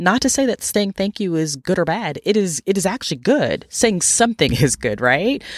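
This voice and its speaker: A woman's medium-pitched voice with vocal fry and very wide pitch swings, at a moderate pace with hardly any pauses, on a very clean recording with a silent background. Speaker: life coach and podcast host. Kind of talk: solo podcast monologue.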